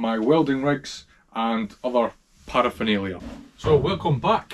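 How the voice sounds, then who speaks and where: A man with a strong Scottish accent speaks fairly slowly with lively intonation over light background noise. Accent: thick Scottish. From Scotland. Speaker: motorcycle restorer. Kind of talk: casual talk to camera. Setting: workshop. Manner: humorous. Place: workshop. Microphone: camera far.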